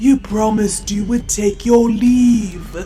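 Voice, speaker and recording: Clear music plays in the background as a female-sounding voice puts on a character voice, fairly high in pitch and fairly slow. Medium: audio drama.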